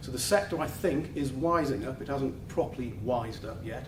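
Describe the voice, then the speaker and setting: A man speaks at a moderate pace with a northern English accent, his medium pitch moving with ordinary variation. His loudness swings widely, and there is audible room echo plus noticeable background noise. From northern England. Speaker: law firm office head. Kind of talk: welcome speech. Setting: office event with live audience.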